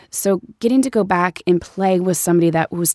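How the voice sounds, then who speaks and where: A woman with an American accent has an unremarkable speaking voice, pitched fairly low with ordinary variation and a fairly quick pace. The recording is very clean with a silent background and a dry, close sound with no echo. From US Midwest (Ferguson, Missouri). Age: 30s. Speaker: actress. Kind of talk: casual chat.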